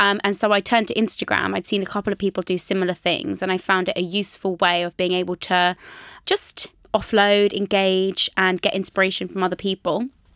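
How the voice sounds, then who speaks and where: A woman with a British accent, medium-pitched and monotone, at a fairly quick pace in a very clean recording with a silent background. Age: 20s. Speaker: personal trainer and author. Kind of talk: casual chat. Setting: studio.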